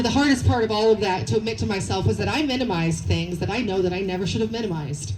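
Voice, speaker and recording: Noticeable background noise sits under this recording. The woman talking is heard with audible room echo. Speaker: rally speaker. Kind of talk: protest rally speech. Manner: loud, shouting.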